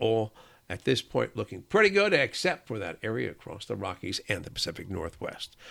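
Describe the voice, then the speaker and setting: A man talks at a fairly quick pace in a bright, sharp tone with vocal fry and very wide pitch swings. The recording is very clean with a silent background. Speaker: meteorologist. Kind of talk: solo weather forecast rundown of airport hubs. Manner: brisk, upbeat forecaster cadence with occasional 'uh' fillers; friendly, reassuring sign-off tone.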